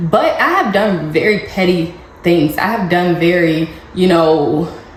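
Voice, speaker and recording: A woman talks at a very slow pace, her intonation fairly even. The room echoes audibly, and background noise is noticeable. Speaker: parenting vlogger. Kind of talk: casual advice vlog.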